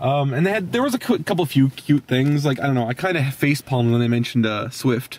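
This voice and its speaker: A man speaks at a very fast pace with hardly any pauses and ordinary pitch variation, the sound dry with no echo. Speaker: movie reviewer. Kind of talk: casual movie review chat. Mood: amused, opinionated. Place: car. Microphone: phone near.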